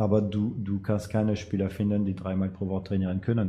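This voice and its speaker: Somewhat breathy, a man with a fairly low pitch and a dark, mellow tone speaks at a moderate pace with monotone, flat intonation. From France. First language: French (speaking German). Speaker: amateur football coach. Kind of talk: casual interview.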